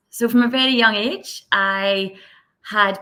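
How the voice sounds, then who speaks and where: With a Scottish accent, a woman speaks in a bright, sharp tone at medium pitch with ordinary variation, on a very clean recording with a silent background. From west of Scotland. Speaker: social impact leader. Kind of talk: podcast interview. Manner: fast.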